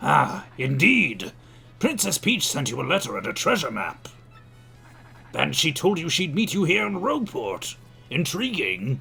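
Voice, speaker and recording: A man uses a put-on character voice pitched high, with long, frequent pauses. Clear music plays behind him. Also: moderate pace. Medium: virtual streamer. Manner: genteel, old-fashioned, fussy.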